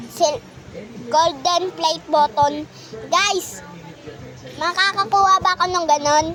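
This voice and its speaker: Against noticeable background noise, a woman with an extremely high pitch talks at a very slow pace, pausing long and often. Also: ordinary pitch variation. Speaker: gaming youtuber. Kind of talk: casual gaming chat. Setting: in gaming chair at home.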